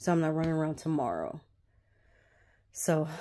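At a moderate pace, a woman speaks with a very deep, low pitch and a dark, mellow tone against a quiet background. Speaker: vlogger. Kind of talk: casual vlog chat. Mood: a bit frustrated, planning day. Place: home room. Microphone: phone near.

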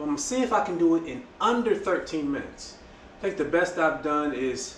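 Over light background noise and audible room echo, a man with a high pitch speaks at a moderate pace with lively intonation. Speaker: fitness vlogger. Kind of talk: casual vlog chat. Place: garage. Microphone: camera far.

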